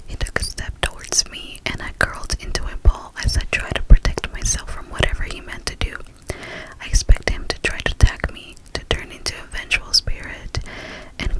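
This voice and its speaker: A woman whispering at a moderate pace. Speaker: storyteller. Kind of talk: story narration reading. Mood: eerie, suspenseful. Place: home room. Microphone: studio mic.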